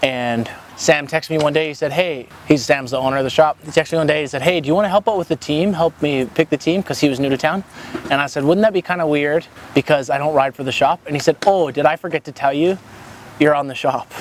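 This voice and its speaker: A man with a Canadian accent, fairly high in pitch with ordinary pitch variation, at a very fast pace, in a dry, close recording with no echo and noticeable background noise. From Canada, Alberta (Calgary, Cochrane). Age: 20s. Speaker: skateboarder and youth volunteer. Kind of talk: casual interview.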